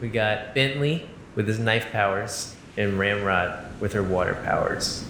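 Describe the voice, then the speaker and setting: Over noticeable background noise, a man speaks at a fairly slow pace and fairly low pitch, with ordinary pitch variation and very even loudness. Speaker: improv comedy podcast host. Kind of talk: casual improv comedy chat.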